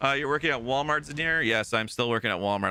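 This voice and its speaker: Loud and bright with a sharp tone, the voice rushes at a very fast pace with ordinary pitch variation on a very clean recording with a silent background. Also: man. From Ontario, Canada (Toronto). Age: 40s. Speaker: live streamer. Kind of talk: casual chat.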